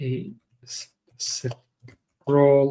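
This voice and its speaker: A somewhat breathy voice with a non-native accent speaks in a fairly even intonation. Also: man. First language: not English. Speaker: software developer streamer. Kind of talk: live coding stream. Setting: live stream. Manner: halting, many fillers.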